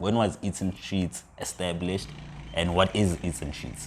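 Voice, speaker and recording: A man speaks at a moderate speed while noticeable background noise carries on. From South Africa, Limpopo (Polokwane). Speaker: podcast host. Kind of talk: casual interview.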